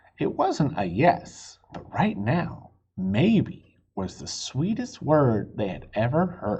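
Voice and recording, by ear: Over audible room echo, a man speaks slowly in a dark, mellow tone with very wide pitch swings. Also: medium pitch for a man.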